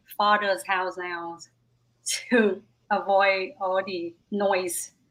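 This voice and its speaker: A woman at a medium pitch, very slow and monotone, with flat intonation. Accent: Vietnamese. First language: Vietnamese. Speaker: stand-up comedian. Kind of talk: casual chat.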